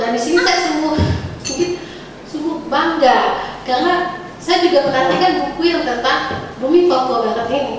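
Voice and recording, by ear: A woman talks at a moderate pace with ordinary pitch variation, and audible room echo is present.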